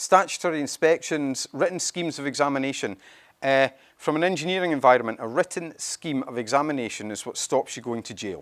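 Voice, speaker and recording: On a very clean recording with a silent background and a dry, close sound with no echo, a man talks at a fairly quick pace with a fairly high pitch and lively intonation. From Scotland. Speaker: company CEO presenting a product. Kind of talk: conference presentation. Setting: stage with audience at event.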